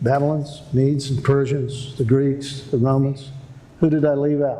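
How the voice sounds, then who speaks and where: There is audible room echo around this man's voice. He speaks at a moderate pace with a fairly high pitch. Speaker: prophecy seminar preacher. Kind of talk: sermon. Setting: seminar with audience. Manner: animated.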